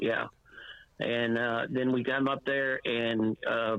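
Noticeable background noise runs beneath a man's voice, which stays monotone with flat intonation. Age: 60s. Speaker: former high school basketball and softball coach. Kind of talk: phone interview on radio. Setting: phone call. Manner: halting, rambling, with many fillers.

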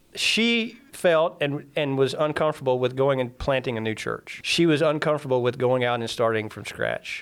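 Speaking with an American accent, a man uses an ordinary speaking voice at a medium pitch and moderate pace, with ordinary pitch variation and hardly any pauses. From Mississippi, US. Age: 30s. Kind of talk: testimony. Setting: studio.

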